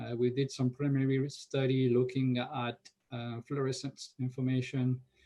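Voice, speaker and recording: Medium male pitch at a moderate pace from a man. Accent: French. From France. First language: French. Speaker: NASA research scientist. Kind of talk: conference Q&A answer. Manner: frequent hesitations with uh.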